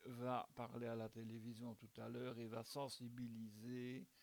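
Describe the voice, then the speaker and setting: A man speaks at a very slow pace, his pitch sitting in the middle range. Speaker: amateur video blogger presenting a news bulletin. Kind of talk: informal spoken news commentary. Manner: hesitant, many fillers and repetitions.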